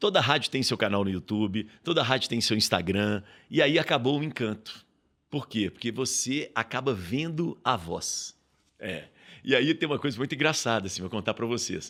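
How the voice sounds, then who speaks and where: A man's medium-pitched voice, bright and sharp in tone, with lively intonation, on a very clean recording over a silent background. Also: moderate pace. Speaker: radio broadcaster and professor. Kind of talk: podcast interview. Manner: animated.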